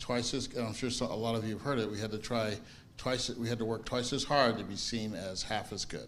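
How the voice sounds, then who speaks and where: Audible room echo surrounds a man with an American accent who talks at a fairly quick pace with fairly even intonation. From US Midwest, early childhood in Italy. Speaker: congregation member. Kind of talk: personal testimony in group discussion. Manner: halting, many restarts and fillers.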